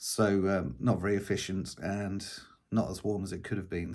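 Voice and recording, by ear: A man's low voice, slightly mellow in tone, at a slow pace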